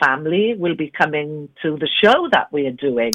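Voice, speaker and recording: With a slight Welsh accent, a woman speaks at a moderate pace in a very deep, low pitch, her intonation lively. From Wales, Carmarthen. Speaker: interview guest, singer. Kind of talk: polished interview voice. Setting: phone.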